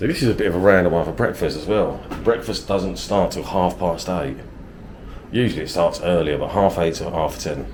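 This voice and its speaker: With a southern English accent, a man talks at a fairly quick pace in a very deep, low pitch with ordinary pitch variation, over noticeable background noise and audible room echo. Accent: southern English (London-ish). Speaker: travel vlogger. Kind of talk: casual vlog narration.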